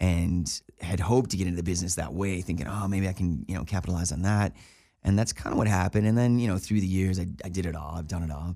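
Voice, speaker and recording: Very fast speech with an American accent, ordinary pitch movement and a dark, mellow tone. The recording is very clean, with a silent background. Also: man, very deep, low pitch for a man. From Buffalo, New York, US. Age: 50s. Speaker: actor and voice actor. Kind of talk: casual interview chat. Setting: studio, in person. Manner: upbeat.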